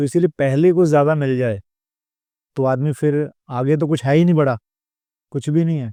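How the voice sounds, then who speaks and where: A man speaks at a moderate pace with a dark, mellow tone and fairly high pitch, his intonation varying in an ordinary way. The sound is dry and close with no echo, over a quiet background. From Punjab, Ludhiana. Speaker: comedian and mimicry artist. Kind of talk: podcast interview.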